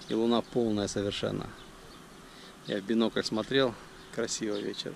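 A man talks over noticeable background noise. The sound is dry, with no echo. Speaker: travel vlogger. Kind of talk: vlog narration. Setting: outdoors. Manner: casual. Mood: relaxed, descriptive. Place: open country. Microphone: phone near.

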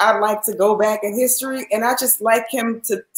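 A woman speaks at a moderate pace with a fairly high pitch and ordinary pitch variation. Audible echo fills the room. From New Orleans. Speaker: former nurse and supplement seller; supplement seller. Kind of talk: interview. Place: home room.

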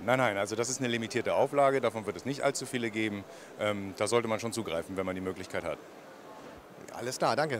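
A man at a very fast pace, with ordinary pitch variation, dry sound with no echo and light background noise. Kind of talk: interview answer. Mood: friendly, smiling. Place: hall. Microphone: handheld.

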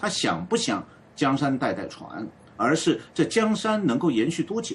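A man speaks at a moderate pace. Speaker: political commentator. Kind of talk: live panel discussion.

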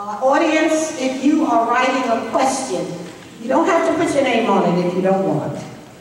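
A woman with a high voice speaks at a fairly slow pace with lively intonation. Strong room echo and light background noise surround her. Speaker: forum moderator. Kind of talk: explaining meeting procedure. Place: hall.

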